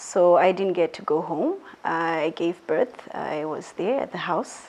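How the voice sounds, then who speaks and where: This is a woman speaking. She has a Zimbabwean accent. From Zimbabwe, Mutare. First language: Shona. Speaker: interviewee sharing personal story. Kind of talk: interview. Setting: filmed indoors at a school.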